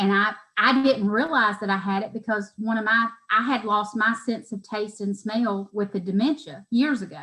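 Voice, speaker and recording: A woman with an American accent speaks at a moderate pace in a fairly high pitch, her tone bright and sharp and her pitch varying in an ordinary way. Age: 40s. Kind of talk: interview answer.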